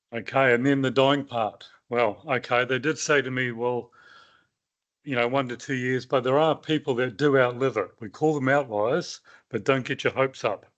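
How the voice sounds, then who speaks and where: In a New Zealand accent, a man speaks at medium pitch and a moderate pace with fairly even intonation over a quiet background. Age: 60s. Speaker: cancer survivor. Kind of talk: personal testimony talk. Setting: meeting with live audience. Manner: halting.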